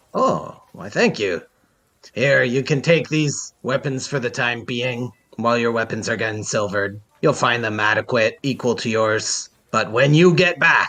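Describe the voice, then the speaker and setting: A man speaks in a put-on character voice at a moderate pace. His pitch sits in the middle range, with ordinary variation. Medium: actual play. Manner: hearty, laughing.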